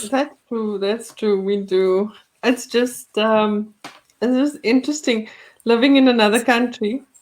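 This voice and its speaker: A woman with a South African accent, fairly high in pitch, at a fairly slow pace with fairly even intonation. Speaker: podcast host. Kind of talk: casual chat.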